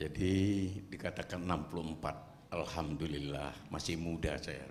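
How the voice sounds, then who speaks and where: At a moderate pace, the speaker keeps a fairly even intonation while audible room echo surrounds the voice. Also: man, very deep, low pitch for a man. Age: 70s. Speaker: retired army general and activist. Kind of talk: speech at a forum.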